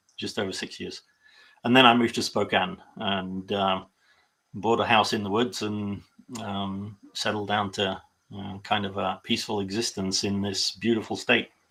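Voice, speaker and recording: Speaking in a British accent, a man delivers his words with a bright, sharp tone and monotone, flat intonation. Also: fairly low pitch for a man, moderate pace. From UK. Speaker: political party volunteer. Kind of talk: interview. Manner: halting, many fillers.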